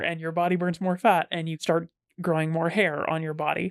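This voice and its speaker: A woman with an American accent speaks at a fairly quick pace in a fairly low voice. The recording is very clean, with a silent background and a dry, close sound with no echo. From Texas, Fort Worth area. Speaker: podcast guest. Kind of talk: casual chat.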